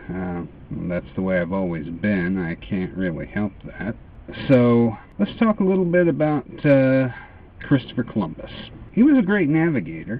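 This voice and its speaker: This man talks with an American accent and very wide pitch swings. Noticeable background noise is present. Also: medium pitch for a man. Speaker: vlogger. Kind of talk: casual monologue. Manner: slow with long pauses; hesitant, many uhs.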